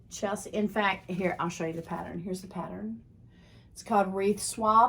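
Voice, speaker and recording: Speaking at a moderate pace, a woman uses a medium pitch with ordinary pitch variation and vocal fry. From Texas. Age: 60s. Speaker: craft video host. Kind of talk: casual show-and-tell vlog. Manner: conversational, with fillers.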